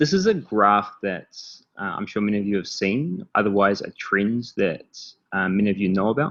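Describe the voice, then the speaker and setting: At a fairly slow pace, a man with a New Zealand accent speaks at a fairly low pitch against a quiet background. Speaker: startup founder and CEO. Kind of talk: presentation. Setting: online call. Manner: many filler words (um, uh).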